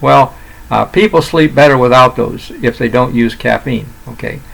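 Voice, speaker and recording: At a moderate pace, a man talks while noticeable background noise plays behind him. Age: 80s+. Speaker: retired doctor. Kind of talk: solo health talk to camera. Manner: halting, many fillers and restarts.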